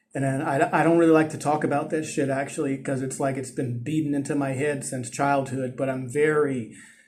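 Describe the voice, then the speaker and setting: A man's fairly high-pitched, monotone voice with an American accent, hardly any pauses and audible room echo. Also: fairly quick pace. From US West Coast, East Oakland, California. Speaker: vlogger. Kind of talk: casual monologue vlog. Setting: outdoors on a ledge.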